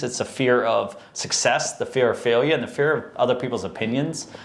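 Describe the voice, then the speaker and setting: A man speaks at a moderate pace with an American accent. Noticeable background noise runs under his voice. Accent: Boston accent, slight, comes out at times. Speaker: podcast host. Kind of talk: casual interview chat.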